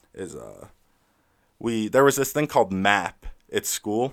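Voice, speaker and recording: In an American accent, a man speaks with a plain, everyday voice at a medium pitch and lively intonation. The recording is very clean, with a silent background. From Southern California, San Clemente. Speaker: musician. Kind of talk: interview.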